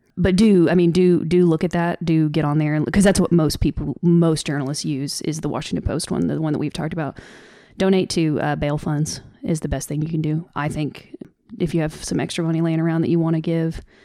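Speaking at a fairly quick pace, a woman with a very deep, low pitch and a dark, mellow tone keeps her intonation fairly even. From US South. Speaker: podcast host. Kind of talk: casual podcast update, upset and earnest. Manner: emotional, upset.

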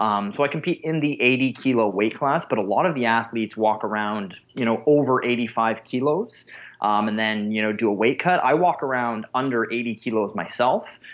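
A normal speaking voice comes through with ordinary pitch variation. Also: man, medium pitch for a man, moderate pace. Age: 30s. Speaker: strongman athlete. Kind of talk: interview.

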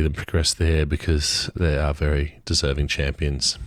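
A man with an Australian accent speaks at a moderate pace in a very deep, low pitch and monotone, flat intonation. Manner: hesitant, many filler words.

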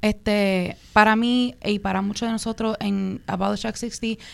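A fairly high-pitched woman's voice, monotone and flat, at a fairly slow pace on a very clean recording with a silent background. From New York Puerto Rican diaspora (Williamsburg, Brooklyn). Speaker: activist campaign leader. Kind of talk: panel discussion.

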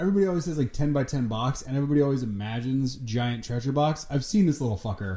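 Speaking at a very fast pace with hardly any pauses, a man with a medium pitch and a dark, mellow tone sounds somewhat breathy, his intonation lively. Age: 30s. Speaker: writer and director. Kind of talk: casual chat.

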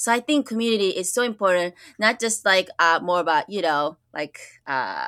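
A woman's medium-pitched voice, bright and sharp, in a Japanese accent, on a very clean recording with a silent background. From Japan, moved to US at nine. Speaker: school counselor. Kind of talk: interview conversation. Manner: animated, many fillers and restarts.

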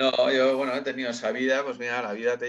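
A man talks at a moderate pace with a medium pitch. He has a normal speaking voice. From Spain, Getxo (Basque Country). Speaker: singer. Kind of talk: casual chat.

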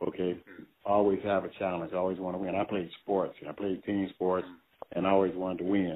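With an American accent, a man talks at a very fast pace in a very deep, low voice with monotone, flat intonation. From US Midwest, Cleveland, Ohio. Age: 70s. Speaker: funk band musician and musical director. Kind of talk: casual interview. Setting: phone call. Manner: halting, many fillers.

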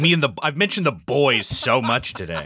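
In a very clean recording with a silent background, a man with an American accent speaks at a moderate pace in a medium pitch, with a bright, sharp tone, vocal fry and very wide pitch swings. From Southern California. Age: 30s. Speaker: podcast guest. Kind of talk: casual chat. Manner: halting.

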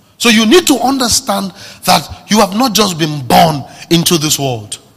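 Vocal fry marks this man's voice. His pitch rises and drops across a very wide range. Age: 30s. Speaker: pastor. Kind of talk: sermon. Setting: church service. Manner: animated.

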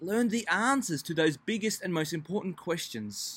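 On a very clean recording with a silent background, a man with an Australian accent talks at a high pitch with lively intonation. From Melbourne, Australia. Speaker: pastor. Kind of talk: devotional talk.

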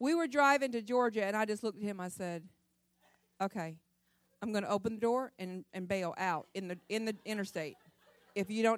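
A woman speaks at medium pitch and a moderate pace. Her pitch varies in an ordinary way, broken by long, frequent pauses. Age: 50s. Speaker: women's conference speaker. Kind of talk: humorous storytelling; sermon.

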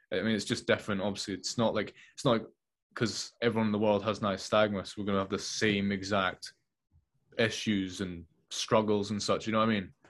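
In a quiet background, a man with a Scottish accent speaks at a fairly quick pace, his fairly low pitch held in monotone, flat intonation. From Scotland. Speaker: filmmaker. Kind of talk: casual chat. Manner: halting.

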